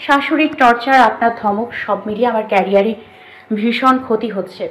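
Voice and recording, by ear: Ordinary pitch variation throughout a natural-voiced reading aloud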